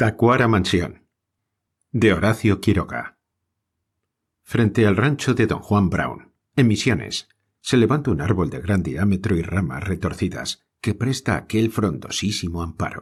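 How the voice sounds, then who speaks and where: Heard on a very clean recording with a silent background, a man with a Spanish accent speaks fairly slowly, somewhat breathy, with lively intonation. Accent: Spain Spanish. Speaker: audiobook narrator. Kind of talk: audiobook reading of a short story.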